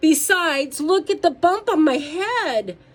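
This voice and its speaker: Using a put-on character voice, a woman speaks at a fairly slow pace in an extremely high pitch. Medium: read story. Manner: anxious, insistent.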